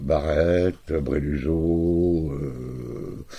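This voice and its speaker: In a very deep, low voice with a dark, mellow tone, a man speaks very slowly with fairly even intonation. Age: 60s. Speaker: therapist. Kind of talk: self-introduction video. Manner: halting, many fillers.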